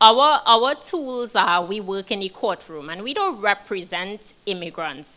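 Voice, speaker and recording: A woman speaks at a medium pitch with lively intonation and a bright, sharp tone. She has a non-native accent. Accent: foreign. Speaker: criminal defense attorney. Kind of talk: panel discussion.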